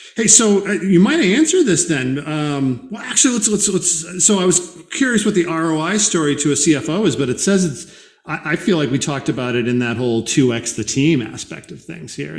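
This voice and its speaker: Against a quiet background with audible room echo, a man with an American accent speaks at a fairly high pitch with very wide pitch swings and hardly any pauses. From Boston. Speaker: podcast host. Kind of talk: interview conversation. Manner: fast talker. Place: home room.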